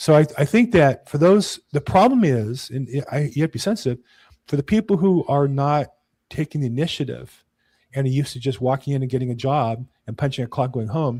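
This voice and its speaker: Over a very clean recording with a silent background and a dry, close sound with no echo, a man with an American accent talks at a fairly quick pace in a fairly high pitch, with ordinary pitch variation and a somewhat breathy, dark, mellow tone. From California. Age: 60s. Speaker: real estate agent. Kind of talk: casual chat. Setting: podcast recording.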